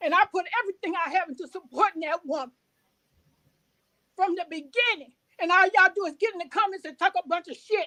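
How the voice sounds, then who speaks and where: In a dry, close sound with no echo, a woman uses a raised, projected voice that is extremely high-pitched, bright and sharp, animated in tone, fairly quick, with ordinary pitch variation. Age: old. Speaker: caller. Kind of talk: heated rant. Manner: loud, animated.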